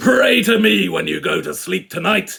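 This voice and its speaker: A man bellowing and shouting in a put-on character voice at a moderate pace. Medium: read story. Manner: shouting, bellowing.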